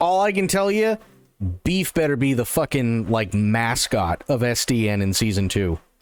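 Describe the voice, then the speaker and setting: With music in the background, a man at medium pitch talks at a moderate pace, making very wide pitch swings while his loudness stays very even. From England. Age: 40s. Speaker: streamer. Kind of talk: casual gaming commentary.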